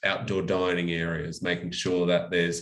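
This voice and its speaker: In an Australian accent, a man with a very deep, low voice speaks at a moderate pace with ordinary pitch variation and audible room echo. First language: French. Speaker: local mayor. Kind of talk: presentation. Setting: online live-streamed seminar. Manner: many fillers (um, uh).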